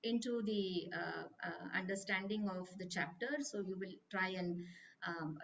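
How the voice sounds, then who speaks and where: A somewhat breathy woman's voice with ordinary pitch variation over light background noise. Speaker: study group teacher. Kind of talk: lecture. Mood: warm, calm. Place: home room. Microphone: video call.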